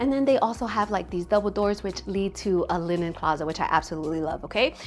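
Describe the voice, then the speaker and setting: With music playing in the background, a woman with an American accent and medium pitch talks very fast in an animated tone, her intonation lively. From Staten Island, New York. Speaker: real estate agent. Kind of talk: home tour walkthrough.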